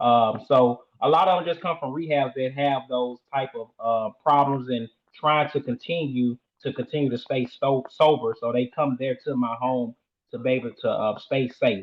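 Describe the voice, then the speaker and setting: A man with a Southern US accent speaks at a moderate pace. His pitch is medium and his intonation fairly even. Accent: Southern country. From US South, Shreveport, Louisiana. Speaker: sober living home owner. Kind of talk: interview. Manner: hesitant, many fillers.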